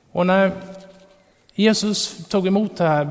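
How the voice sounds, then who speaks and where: There is noticeable background noise. Through it, a man can be heard speaking. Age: 40s. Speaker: preacher. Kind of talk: sermon.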